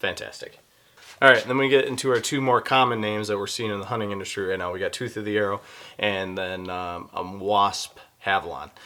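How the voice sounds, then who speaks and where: Speaking at a fairly quick pace with an American accent, a man has a fairly low pitch, ordinary pitch variation and a bright, sharp tone. The recording is very clean with a silent background. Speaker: hunting YouTuber. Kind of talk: product review. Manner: fast; casual.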